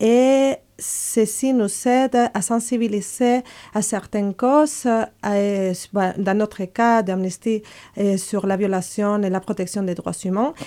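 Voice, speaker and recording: Spoken at a very slow pace in a dark, mellow tone with ordinary pitch variation, the clip is a very clean recording over a silent background. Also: woman, fairly high pitch for a woman. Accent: Spanish. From Spain. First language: Spanish (speaking French). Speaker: human rights campaign coordinator. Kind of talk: radio interview, role-play debate. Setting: studio.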